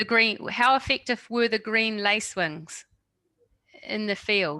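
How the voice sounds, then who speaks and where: Someone speaks very slowly with a New Zealand accent. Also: woman. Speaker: webinar moderator. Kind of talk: webinar Q&A.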